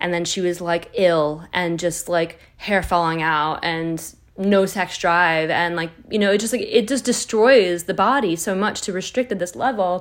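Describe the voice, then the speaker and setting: Speaking fairly slowly with hardly any pauses, a woman has a plain, everyday voice, fairly low in pitch with ordinary pitch variation, in a very clean recording over a silent background. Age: 30s. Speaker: wellness podcast host. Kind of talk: personal monologue.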